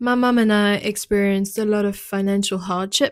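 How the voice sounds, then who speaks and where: A woman with a French accent speaks using ordinary pitch variation. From France. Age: 30s. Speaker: podcast host and wellness business owner. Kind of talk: personal monologue.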